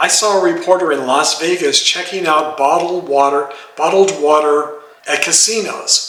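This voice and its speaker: A man pitches his voice high and keeps fairly even intonation, with noticeable background noise present. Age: 70s. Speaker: retiree. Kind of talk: casual talk to camera.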